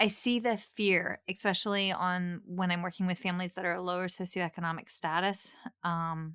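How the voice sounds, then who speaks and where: A woman with an American accent speaks at a moderate pace in a bright, sharp tone, her medium pitch held in a monotone, flat intonation on a very clean recording with a silent background. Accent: Appalachian, code-switched. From Appalachia, rural Virginia. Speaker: speech-language pathologist, podcast host. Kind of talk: interview.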